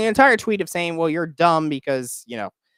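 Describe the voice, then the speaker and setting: With an American accent and an ordinary speaking voice, the speaker talks at a fairly quick pace with lively intonation, in a dry, close sound with no echo. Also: man. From Oklahoma. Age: 20s. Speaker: political commentator, YouTuber. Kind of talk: live stream commentary. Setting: live stream. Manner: casual, filler-heavy.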